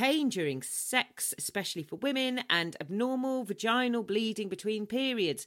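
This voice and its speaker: A woman speaks at a moderate pace in a high voice with very wide pitch swings, recorded very cleanly against a silent background. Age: 40s. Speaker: podcast host. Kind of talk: casual chat. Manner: animated.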